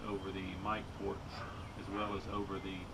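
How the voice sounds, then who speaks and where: Fairly slow pace from a man, with loud background noise. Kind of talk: casual spoken test narration. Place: street. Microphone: camera far.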